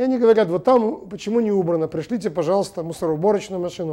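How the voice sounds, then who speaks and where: Over a quiet background, a man speaks in a high, dark, mellow voice with ordinary pitch variation. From Belarus, Minsk; Belarus. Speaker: TV host and journalist; TV talk show host. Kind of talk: TV studio monologue. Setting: TV studio. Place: studio. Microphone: lapel.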